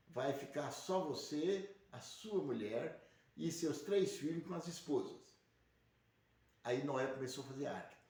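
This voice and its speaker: A man speaks at a fairly slow pace with long, frequent pauses, and his pitch is fairly high. His pitch varies in an ordinary way, and audible room echo surrounds the voice. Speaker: religious livestream host. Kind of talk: religious teaching monologue. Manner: speaking quietly; rambling, repetitive.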